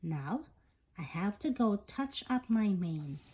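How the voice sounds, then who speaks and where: A woman's put-on character voice, medium in pitch and fairly slow in pace. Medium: read story.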